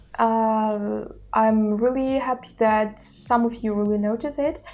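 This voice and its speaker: A woman speaks with a Russian accent at a fairly slow pace. Her pitch sits fairly high and shows ordinary variation. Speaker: language-learning YouTuber. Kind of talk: casual vlog talk. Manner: hesitant with filler sounds.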